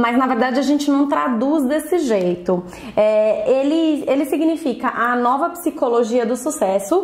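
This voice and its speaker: A woman speaks at a fairly slow pace with a high pitch and very even loudness. Noticeable background noise runs underneath. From Brazil. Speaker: beauty sales consultant and trainer. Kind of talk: vlog book review. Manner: casual, conversational with fillers.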